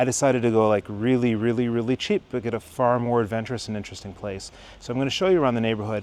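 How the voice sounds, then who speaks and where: This man speaks with an American accent. His pitch is medium, with ordinary variation. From Michigan, suburban Detroit. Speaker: travel vlogger, mathematician. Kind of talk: walking tour vlog. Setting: outdoors. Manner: casual, filler-heavy.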